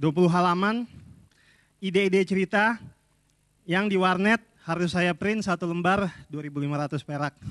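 A man with a high pitch talks at a fairly slow pace, using ordinary pitch variation. Long, frequent pauses break up his speech over a quiet background. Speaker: film director and workshop instructor. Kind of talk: workshop lecture. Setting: stage with audience. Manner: humorous. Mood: humorous, relaxed. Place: hall. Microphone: handheld.

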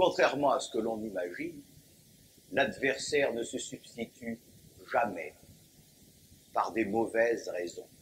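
A man's solemn tone at a very slow pace, broken by long, frequent pauses. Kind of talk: sermon. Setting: church. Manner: formal, solemn, measured pulpit delivery with rhetorical emphasis; didactic, occasionally wry, rising into a fervent refrain on the repeated cry.

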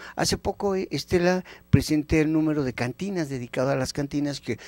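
A man speaks at a fairly quick pace with ordinary pitch variation, his voice dry and free of any echo. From Mexico, Temascalcingo (State of Mexico); State of Mexico, Mexico. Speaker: anthropologist and magazine editor; guest. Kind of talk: educational TV interview. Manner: animated. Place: studio. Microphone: handheld.

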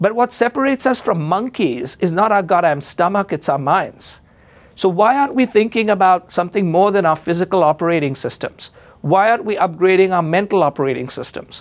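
A man's high-pitched voice, fairly quick in pace, with lively intonation. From India. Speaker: advertising executive and author. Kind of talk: interview. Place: studio. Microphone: lapel.

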